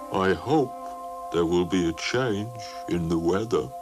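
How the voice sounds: A cartoonish character voice moves at a fairly slow pace over loud background noise. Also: man, very deep, low pitch for a man.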